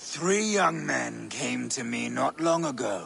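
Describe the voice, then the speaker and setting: A man puts on a character voice and speaks at a very slow pace over clear background noise. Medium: video game. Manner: ominous, knowing.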